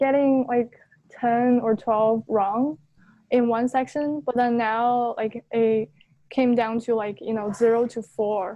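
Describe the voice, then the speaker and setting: A non-native accent in a monotone, flat intonation at a very slow pace. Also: woman, fairly high pitch for a woman. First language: not English. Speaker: LSAT student seeking coaching. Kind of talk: coaching session conversation.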